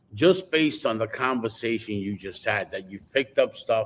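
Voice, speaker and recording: A man has an unremarkable speaking voice at a medium pitch. He talks at a moderate pace. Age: 60s. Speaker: podcast co-host, car industry veteran. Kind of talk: casual panel discussion. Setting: live stream.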